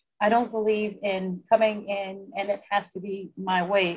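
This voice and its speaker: In a quiet background, a woman with an American accent speaks with monotone, flat intonation. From US South, southern Louisiana. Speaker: casino executive. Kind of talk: interview. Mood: calm, confident, businesslike. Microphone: video call.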